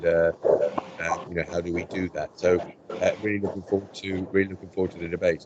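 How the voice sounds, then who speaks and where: A man's very deep, low voice, fairly quick and monotone, with noticeable background noise. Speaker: meeting chair. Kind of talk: online meeting. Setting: video call. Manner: halting.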